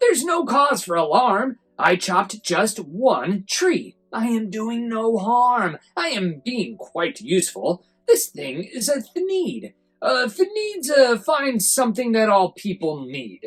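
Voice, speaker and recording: This put-on character voice sits at a fairly high pitch. It moves at a fairly slow pace with hardly any pauses. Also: female-sounding voice. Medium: read story.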